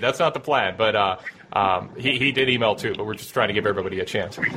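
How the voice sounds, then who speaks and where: Speech rushes by at a very fast clip with noticeable background noise behind it. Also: man. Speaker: call-in wrestling podcast host. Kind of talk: call-in show chat. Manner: animated.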